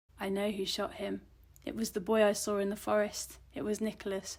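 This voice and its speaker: A woman puts on a character voice, raspy and soft-spoken at a medium pitch, talking fairly quickly in a flat monotone. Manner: low and soft.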